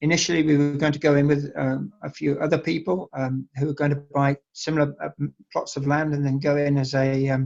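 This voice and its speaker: Using an English accent, a man with a fairly high pitch speaks at a moderate pace in a monotone, flat manner, recorded dry and close with no echo. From England. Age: 60s. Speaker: winery owner. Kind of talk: interview. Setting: online call. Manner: hesitant, many fillers.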